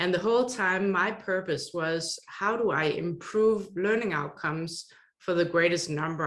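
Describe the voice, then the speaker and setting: This woman has a Danish accent. Her pitch is fairly low. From Denmark. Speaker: online course consultant. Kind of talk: interview.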